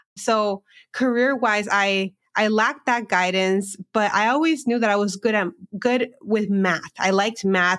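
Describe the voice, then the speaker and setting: In a Californian accent, a woman speaks with ordinary pitch variation, the sound dry and close with no echo on a very clean recording with a silent background. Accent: Californian American English. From Southern California border town. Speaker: financial educator and entrepreneur. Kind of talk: casual interview.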